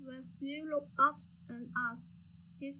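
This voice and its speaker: A woman with a bright, sharp tone and a high pitch talks at a fairly slow pace amid audible room echo. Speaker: student playwright. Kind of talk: dramatic reading.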